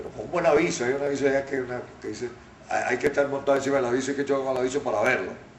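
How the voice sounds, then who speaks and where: The speech comes at a very fast pace. Noticeable background noise sits behind it. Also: man. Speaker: radio announcer and journalist. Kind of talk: interview answer.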